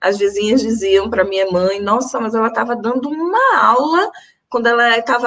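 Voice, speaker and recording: A woman with a bright, sharp tone and a fairly high pitch talks at a moderate pace. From Brazil, Recife (Pernambuco, Northeast). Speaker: teacher and activist. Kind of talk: panel talk in a live stream. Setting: online live stream.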